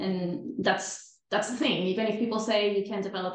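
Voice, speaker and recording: Amid audible room echo, a woman with a Spanish accent talks at a fairly quick pace with fairly even intonation. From Venezuela, Caracas. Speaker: time management coach. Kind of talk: podcast interview. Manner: repeats words, slightly halting.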